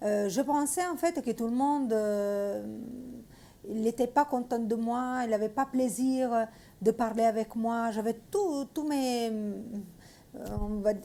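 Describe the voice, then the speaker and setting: A woman talks at a very slow pace with a fairly high pitch and ordinary pitch variation. She speaks with an Italian accent. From Italy. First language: Italian (speaking French). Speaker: missionary. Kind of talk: testimony. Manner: halting, many hesitations.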